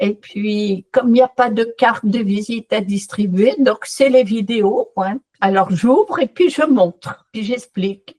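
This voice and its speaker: A woman's somewhat breathy, dark, mellow voice, fairly high pitched, with ordinary pitch variation, very slow pace and hardly any pauses, in a dry, close sound with no echo. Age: 70s. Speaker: customer giving a testimonial. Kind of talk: testimony. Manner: animated.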